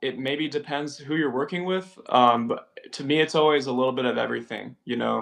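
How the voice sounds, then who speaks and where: This man's voice sits fairly high in pitch, and he speaks at a fairly quick pace. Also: ordinary pitch variation. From California, San Jose. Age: 20s. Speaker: keyboardist, music director and producer. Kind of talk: casual interview chat. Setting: live-streamed podcast.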